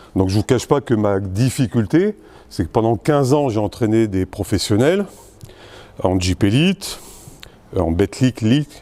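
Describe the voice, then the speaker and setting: This man talks at a fairly slow pace, medium in pitch, with a dark, mellow tone and lively intonation. The sound is dry and close with no echo. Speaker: basketball coach. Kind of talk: lecture.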